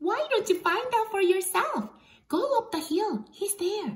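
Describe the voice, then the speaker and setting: In a squeaky put-on character voice, a female-sounding speaker goes extremely high in pitch at a fairly slow pace. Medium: read story. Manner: cheerful, light.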